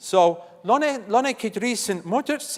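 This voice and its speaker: A man talks with a Swiss accent. His intonation is lively. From Switzerland. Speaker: conference session moderator. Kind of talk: conference session introduction. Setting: conference stage with audience.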